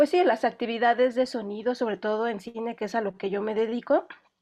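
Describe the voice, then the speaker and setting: Against a quiet background, a woman talks at a fairly quick pace in a high pitch with ordinary pitch variation. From Mexico. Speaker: film sound specialist. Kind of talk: online lecture. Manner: fast when excited; hesitant, many fillers.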